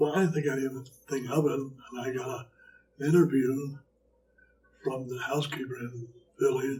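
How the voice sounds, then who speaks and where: A man speaks in a flat monotone at a medium pitch, leaving long, frequent pauses. His voice is somewhat breathy, with a dark, mellow tone. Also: moderate pace. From Philadelphia, US. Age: 80s+. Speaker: retired hospital housekeeper. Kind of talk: interview about his life. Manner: halting.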